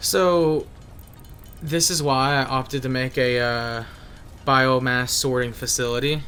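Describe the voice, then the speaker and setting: A man speaks at a fairly slow pace with long, frequent pauses and a medium pitch. His tone is bright and sharp, and there is audible room echo. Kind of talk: gameplay commentary. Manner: casual, with hesitations.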